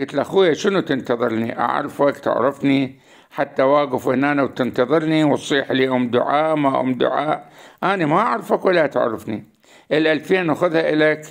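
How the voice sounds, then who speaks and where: A man with an Iraqi accent talks at a moderate pace and a fairly high pitch, keeping his loudness very even. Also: ordinary pitch variation. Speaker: YouTube storyteller. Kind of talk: narrated story monologue.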